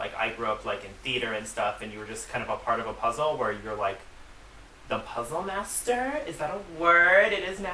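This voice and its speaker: Noticeable noise can be heard in the background. The delivery is fairly quick. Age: 20s. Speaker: drag performer. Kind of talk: interview.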